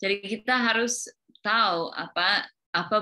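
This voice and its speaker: This woman has an English accent, a bright, sharp tone, and fairly even intonation. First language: English (speaking Indonesian). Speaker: teacher. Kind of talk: interview. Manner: halting.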